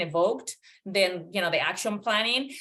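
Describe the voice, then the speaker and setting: A woman's voice with a bright, sharp tone. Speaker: coaching educator. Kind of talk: webinar Q&A.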